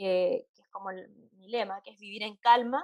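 Speaking in a Chilean accent, a woman with a fairly high pitch keeps a moderate pace and ordinary pitch variation. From Santiago, Chile. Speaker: psychologist. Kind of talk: interview.

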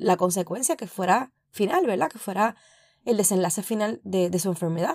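A woman with an ordinary speaking voice speaks at a medium pitch and moderate pace, with ordinary pitch variation and big swings in loudness. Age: 40s. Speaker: podcast host. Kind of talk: personal reflection monologue.

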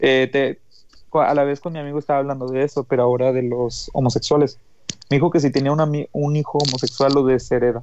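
A man with a Mexican accent at a very fast pace, fairly high in pitch, with monotone, flat intonation. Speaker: podcast co-host. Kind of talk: casual chat.

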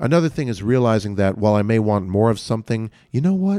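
An unremarkable speaking voice, this man's is fairly low-pitched, with an American accent and lively intonation, captured in a very clean recording with a silent background and a dry, close sound free of echo. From New Jersey. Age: 30s. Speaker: actor and musician. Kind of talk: casual interview.

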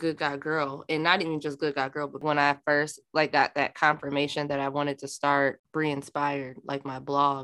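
In an American accent, a woman with a very deep, low pitch speaks at a moderate pace in a bright, sharp tone. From Minnesota, US Midwest. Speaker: podcast host. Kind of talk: casual chat. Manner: loud.

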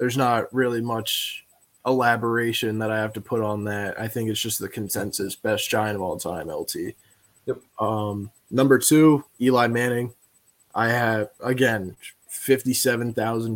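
A man speaks at a fairly slow pace in a plain, everyday voice. His pitch is medium and his intonation fairly even. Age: 20s. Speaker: sports podcast guest co-host. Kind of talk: casual chat. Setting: live stream.

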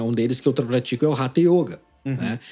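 The tone is dark and mellow, with ordinary pitch variation and a fairly quick pace. The recording is very clean, with a silent background. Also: man. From Paraná, Brazil. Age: 40s. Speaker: drummer and yoga teacher. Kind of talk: casual interview chat. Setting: at his home.

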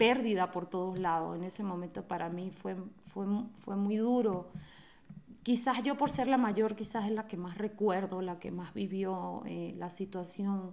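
With a Venezuelan accent, a woman at a medium pitch speaks very slowly and with fairly even intonation. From Venezuela, Caracas and Mérida. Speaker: interview guest sharing life story. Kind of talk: personal testimony.

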